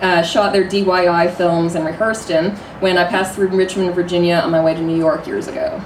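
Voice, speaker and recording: A woman talks at a fairly quick pace at medium pitch with ordinary pitch variation. Noticeable background noise is present. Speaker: stage performer. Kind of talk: reading a prepared speech to a live audience.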